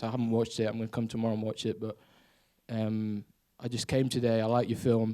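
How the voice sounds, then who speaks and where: On a very clean recording with a silent background, a man speaks at a medium pitch. His tone is dark and mellow, his intonation monotone and flat. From Spain, English father. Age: 20s. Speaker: aspiring filmmaker, audience member. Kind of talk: audience question at Q&A. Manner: halting.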